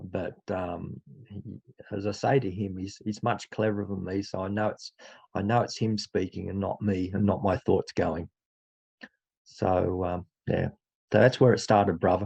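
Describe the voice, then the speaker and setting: A man with an Australian accent and a fairly low, dark, mellow voice speaks at a moderate pace with fairly even intonation and long, frequent pauses, in a dry, close sound with no echo. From Australia (Dubbo, New South Wales). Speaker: teacher and faith testimony speaker. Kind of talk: casual testimony talk.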